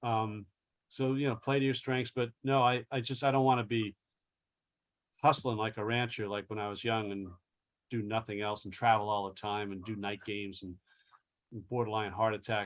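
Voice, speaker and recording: A man speaks at a moderate pace and medium pitch with fairly even intonation. He takes long, frequent pauses. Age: 60s. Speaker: sports columnist. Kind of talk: interview.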